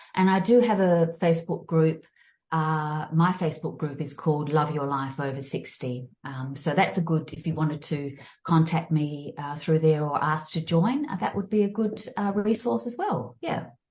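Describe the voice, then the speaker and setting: Somewhat breathy, a woman with an Australian accent talks in a very deep, low pitch with ordinary pitch variation. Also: moderate pace. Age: 60s. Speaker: fitness and mindfulness coach. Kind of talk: interview. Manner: halting, many fillers and restarts.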